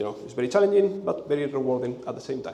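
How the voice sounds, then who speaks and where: Both noticeable background noise and audible room echo are present in the audio. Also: man. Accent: Spanish. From Spain. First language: Spanish. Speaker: conference speaker, software engineer. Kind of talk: conference talk. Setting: stage with audience. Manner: halting, with repetitions and fillers.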